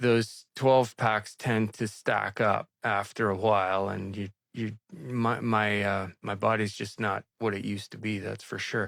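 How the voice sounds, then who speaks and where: A plain, everyday voice at a fairly slow pace with hardly any pauses, in a dry, close sound with no echo. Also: man, fairly low pitch for a man, fairly even intonation. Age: 60s. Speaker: video blogger doing a water fast. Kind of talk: casual chat.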